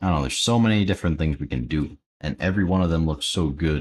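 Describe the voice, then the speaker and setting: A man's voice is very deep and low in pitch. He speaks quietly with lively intonation. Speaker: Roblox Studio tutorial YouTuber, live streamer. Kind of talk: live stream, casual Q&A while building. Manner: quiet, low-energy.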